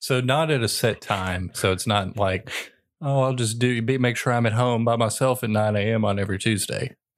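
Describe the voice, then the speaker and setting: In a very clean recording with a silent background, a man with a normal speaking voice talks at a medium pitch and moderate pace, with fairly even intonation and very even loudness. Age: 30s. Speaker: podcast co-host. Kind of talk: casual chat.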